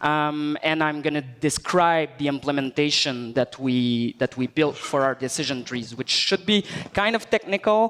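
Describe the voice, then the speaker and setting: With a Quebec accent, a man talks in a fairly high pitch at a moderate pace, his intonation lively and hardly any pauses, in a dry, close sound with no echo over noticeable background noise. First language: French. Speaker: software engineer. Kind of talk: tech talk presentation. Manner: hesitant, many fillers.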